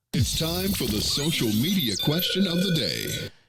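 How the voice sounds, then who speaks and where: A man puts on a booming character voice, fairly high-pitched, at a moderate pace. His pitch swings very widely. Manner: booming, dramatic announcer delivery.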